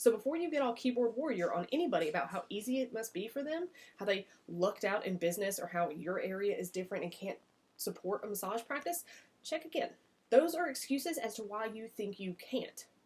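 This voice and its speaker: A woman talks with a Southern US accent, her voice fairly high and somewhat breathy. She moves at a fairly quick pace with very wide pitch swings. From US South. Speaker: massage business coach. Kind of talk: vlog-style business advice talk. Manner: casual, conversational.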